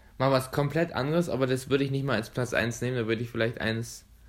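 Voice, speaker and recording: A man's medium-pitched voice in a Berlin accent. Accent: colloquial dialect, saying dit and wat. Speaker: podcast host and dental student. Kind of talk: casual chat.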